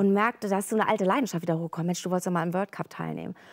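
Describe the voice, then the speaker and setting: Lively intonation marks this woman's speech over a quiet background. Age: 50s. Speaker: feng shui consultant and stand-up paddler; talk show guest. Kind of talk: casual talk show interview. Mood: earnest, personal, reflective. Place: studio. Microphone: lapel.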